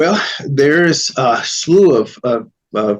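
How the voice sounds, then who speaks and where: His intonation is lively. The man has a Spanish accent. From New York City, Spanish-speaking home. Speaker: Chinese medicine expert. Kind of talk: interview.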